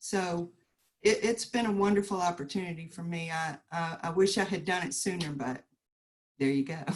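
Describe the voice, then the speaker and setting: Someone with a Southern US accent talks at a moderate pace. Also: woman. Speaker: realtor. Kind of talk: panel discussion. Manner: halting.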